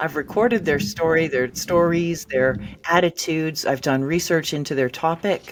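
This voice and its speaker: At a moderate pace, a woman with an American accent speaks at a fairly low pitch in an unremarkable speaking voice. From New Jersey. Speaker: ghostwriter and book editor. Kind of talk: interview conversation.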